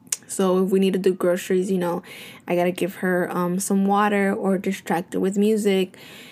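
The voice holds a very even loudness and a monotone, flat intonation. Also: woman, medium pitch for a woman, moderate pace. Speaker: podcast host and stay-at-home mom. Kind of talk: casual solo podcast monologue.

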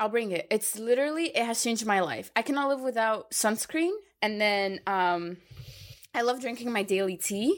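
Using an ordinary speaking voice, a woman talks at a fairly high pitch and a moderate pace with lively intonation. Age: 20s. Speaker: model, podcast co-host. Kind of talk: casual chat.

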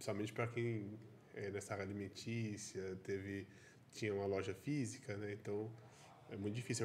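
Somewhat breathy and fairly low in pitch, a man talks at a fairly quick pace with monotone, flat intonation. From Caldas Novas area, Goiás, Brazil. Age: 30s. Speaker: podcast host. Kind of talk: podcast interview.

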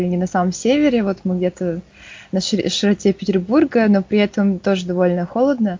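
A somewhat breathy woman's voice, medium in pitch, with ordinary pitch variation and a moderate pace. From Yakutsk, Russia. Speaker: geology researcher. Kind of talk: casual interview.

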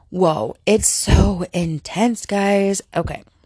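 A woman's medium-pitched voice with fairly even intonation, dry and close with no echo. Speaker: podcast host and film reviewer. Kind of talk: casual solo movie review. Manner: casual, chatty, filler words.

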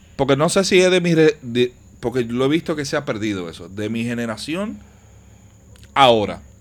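Very clean recording with a silent background: a man at medium pitch and moderate pace, with very wide pitch swings, big swings in loudness and long, frequent pauses. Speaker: podcast host. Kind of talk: casual chat.

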